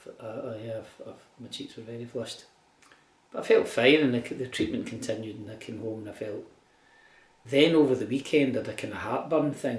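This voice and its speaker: A man with a Glasgow accent, fairly even intonation and audible room echo. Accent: Scottish (Glasgow). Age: 60s. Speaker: cancer patient keeping a video diary. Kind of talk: personal video diary. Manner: halting, with repetitions.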